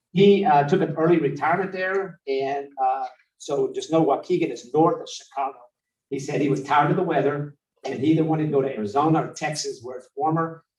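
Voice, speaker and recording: Fairly high in pitch with ordinary variation, a man speaks at a fairly quick pace, his loudness swinging widely amid audible room echo. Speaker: city staff director presenting to council. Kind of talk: council workshop presentation. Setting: city council meeting. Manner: fast; animated.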